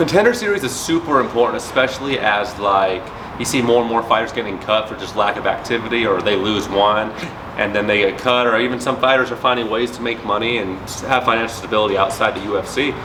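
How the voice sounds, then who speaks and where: In a room with audible echo and noticeable background noise, a man speaks very fast at a medium pitch with fairly even intonation. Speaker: MMA fighter. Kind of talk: interview.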